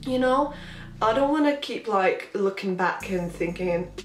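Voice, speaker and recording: A woman talks at a moderate pace with ordinary pitch variation. There is noticeable background noise and audible room echo. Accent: Latvian. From Latvia. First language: Latvian. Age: 20s. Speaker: vlogger. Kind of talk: casual Q&A vlog.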